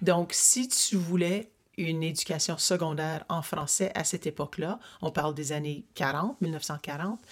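A woman's normal speaking voice, fairly low-pitched and fairly slow, with ordinary pitch variation on a very clean recording, silent background. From Ottawa, Ontario. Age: 60s. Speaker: interviewer of her father. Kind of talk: family interview. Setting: family cottage.

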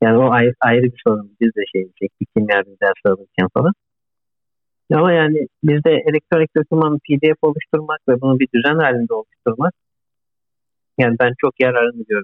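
A man with a normal speaking voice, medium pitch, ordinary pitch variation, a moderate pace and very even loudness. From Turkey, Izmir. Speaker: postdoctoral researcher, engineer. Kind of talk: interview.

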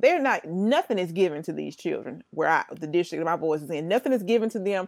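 A woman with a Mississippi accent on a very clean recording with a silent background. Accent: US South (Mississippi). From Jackson, Mississippi. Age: 30s. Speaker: educator. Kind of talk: casual chat.

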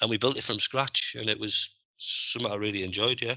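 Speaking with a Teesside accent, a man talks at a very fast pace in a medium pitch. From northeast England, Middlesbrough. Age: 40s. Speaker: scaffolding supervisor. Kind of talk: interview.

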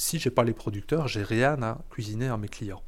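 A man with an ordinary speaking voice, medium pitch, ordinary pitch variation and a fairly quick pace. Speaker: chef and restaurant owner. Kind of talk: interview. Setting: in his restaurant kitchen.

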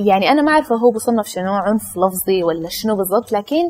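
Moving at a moderate pace, a woman with a fairly high pitch speaks with lively intonation. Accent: Sudanese. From Sudanese family raised in the UAE. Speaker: YouTuber. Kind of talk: casual chat.

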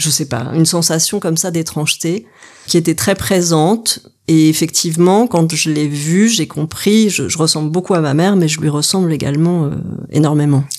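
At a moderate pace, the voice keeps a calm tone with ordinary pitch variation. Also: woman, fairly low pitch for a woman. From Paris region, France. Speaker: photographer. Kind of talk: interview. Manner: halting.

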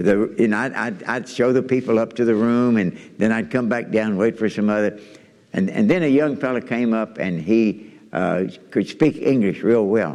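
A medium-pitched man with a Kentucky accent. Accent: Southern US (Kentucky). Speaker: missionary preacher. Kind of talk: sermon. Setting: church.

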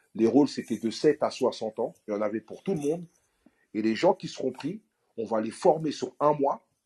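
Fairly high male voice at a moderate pace, dry and close with no echo, over a quiet background. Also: long, frequent pauses. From France, Paris suburbs (Aulnay-sous-Bois). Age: 40s. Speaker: actor. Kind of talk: interview. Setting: audio app live room.

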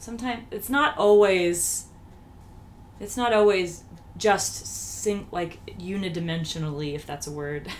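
A woman talks at a fairly slow pace with medium pitch, lively intonation and long, frequent pauses. Her loudness swings widely, and there is noticeable background noise. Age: 30s. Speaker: podcast host. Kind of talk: interview. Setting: living room at home.

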